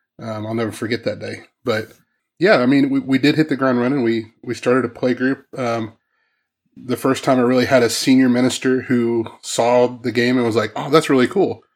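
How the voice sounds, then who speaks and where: An unremarkable speaking voice from a man with an American accent, medium in pitch and moderate in pace, on a very clean recording with a silent background. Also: fairly even intonation. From US Midwest, Southwest Missouri. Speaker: youth minister and former game company owner. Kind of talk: casual interview conversation.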